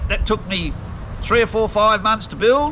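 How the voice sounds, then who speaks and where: A high-pitched man's raised, projected voice in a strong Australian accent, over noticeable background noise. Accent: broad Australian. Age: 60s. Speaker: retired professional fisherman. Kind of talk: casual chat. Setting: at his home.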